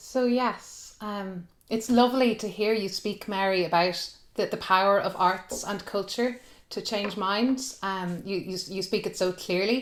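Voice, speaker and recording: A woman with an Irish accent talks at a fairly slow pace and medium pitch. Her intonation is fairly even, and the recording is very clean with a silent background. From Ireland. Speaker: soprano singer. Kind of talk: panel discussion. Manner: halting.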